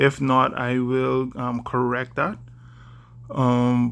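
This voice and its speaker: A man with a Bahamian accent speaks at a medium pitch. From Bahamas. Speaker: vlogger. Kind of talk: casual vlog monologue. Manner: deliberately slowed, careful speech; hesitant, many fillers.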